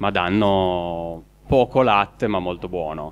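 The man speaks at a very deep, low pitch. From Piedmont, Alba. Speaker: goat farmer. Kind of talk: live cooking show interview.

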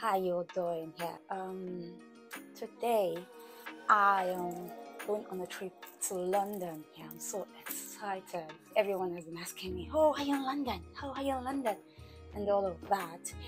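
Clear music plays in the background while a woman speaks at a fairly slow pace, with long, frequent pauses and big swings in loudness. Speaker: vlogger. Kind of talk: casual vlog chat. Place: home room. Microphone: phone near.

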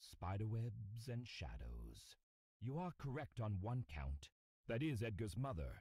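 Somewhat breathy, a man speaks in a dark, mellow tone with very wide pitch swings. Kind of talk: noir audio drama, scripted character dialogue. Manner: formal, aloof and icy, grave and measured.

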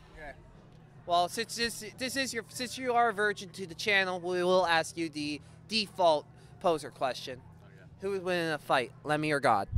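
A man's high, bright and sharp voice at a moderate pace, with lively intonation, dry sound with no echo and light background noise. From Ontario, Canada. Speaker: music podcast host and interviewer; music podcast host, interviewer. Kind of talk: casual interview chat. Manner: animated, joking. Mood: joking, playful. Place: street. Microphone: handheld.

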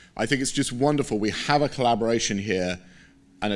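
A man with an English accent. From Britain. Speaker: scientist. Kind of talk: conference keynote. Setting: stage with audience. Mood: enthusiastic. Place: hall.

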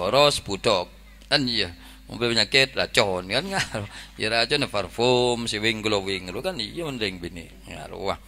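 A man speaks fairly slowly, his intonation lively throughout. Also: medium pitch for a man. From Indonesia. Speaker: Islamic preacher. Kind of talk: humorous sermon. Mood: jokey, lively. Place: tent. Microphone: handheld.

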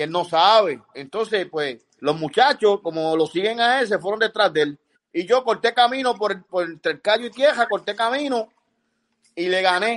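A man with a Puerto Rican accent and a high voice speaks at a moderate pace with lively intonation over a quiet background. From Puerto Rico. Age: 60s. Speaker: fisherman and sailor. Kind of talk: casual chat. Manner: animated. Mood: animated storytelling. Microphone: video call.

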